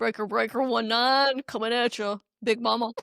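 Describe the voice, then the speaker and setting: A put-on character voice at a fairly high pitch moves at a moderate pace on a very clean recording with a silent background. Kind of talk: CB radio jargon. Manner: gruff, drawling.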